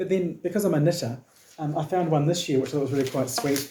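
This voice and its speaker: Noticeable background noise sits behind a man with a New Zealand accent and a fairly high pitch. His loudness stays very even while his pitch varies in an ordinary way. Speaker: knitting podcaster. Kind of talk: casual talk to camera.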